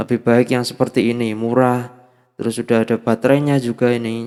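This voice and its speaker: A man's medium-pitched voice comes through as he speaks at a moderate pace. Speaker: audio gear youtuber. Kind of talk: product demo. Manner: casual, filler-heavy. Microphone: cheap dynamic mic through sound card with effects.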